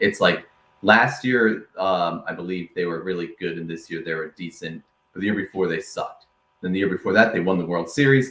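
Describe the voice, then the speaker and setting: The tone is bright and sharp, with an American accent. Delivery is at a fairly quick pace with ordinary pitch variation. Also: man, very deep, low pitch for a man. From Rhode Island, US. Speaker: sports podcast host. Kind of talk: casual chat.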